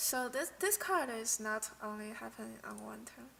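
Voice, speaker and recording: A woman with a non-native accent. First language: not English. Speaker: streamer, card game player. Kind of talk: casual live stream commentary. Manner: halting, with many restarts and fillers.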